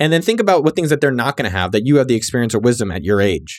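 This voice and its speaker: Very wide pitch swings mark this speech in a Californian accent, captured on a very clean recording with a silent background. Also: man. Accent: Californian American English. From San Jose, California. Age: 30s. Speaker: podcast host, entrepreneur. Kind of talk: casual solo podcast, listener shout-outs. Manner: animated.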